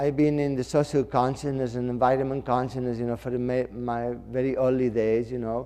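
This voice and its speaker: A dark, mellow voice with a non-native accent speaks in a flat monotone, with hardly any pauses. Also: man, medium pitch for a man, fairly quick pace. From Mallorca, Spain. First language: Spanish or Catalan. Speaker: fashion designer. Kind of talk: interview talk. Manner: halting, filler-heavy.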